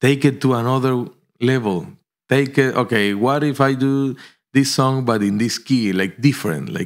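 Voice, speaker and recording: Moderate in pace, a man talks in a Spanish accent. His pitch is medium, with ordinary pitch variation. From Colombia. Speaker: pianist. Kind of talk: interview.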